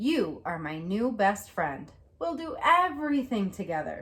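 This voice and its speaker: Doing a put-on character voice, a woman speaks at a moderate pace in a medium pitch, her pitch swinging very widely. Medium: read story.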